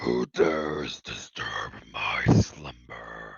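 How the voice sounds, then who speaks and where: The speaker uses a put-on character voice at a very slow pace. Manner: menacing, gruff.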